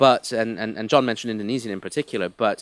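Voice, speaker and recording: In a slight mid-Atlantic accent, the speech runs with fairly even intonation on a very clean recording with a silent background. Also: man. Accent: slightly mid-Atlantic. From US and UK (half each). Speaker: business leader speaking on trade. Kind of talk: conference speech. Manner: hesitant repetitions.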